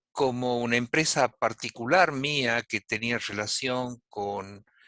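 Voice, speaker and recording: In a dry, close sound with no echo and a quiet background, a man speaks at a very slow pace with a bright, sharp tone. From Argentina. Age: 70s. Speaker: adoptee rights advocate. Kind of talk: casual chat. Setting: video call.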